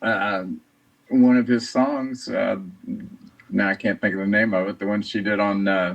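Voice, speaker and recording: An American-accented male voice, ordinary in its pitch variation. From US Midwest, Indiana. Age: 60s. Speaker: fan, award winner. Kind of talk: interview.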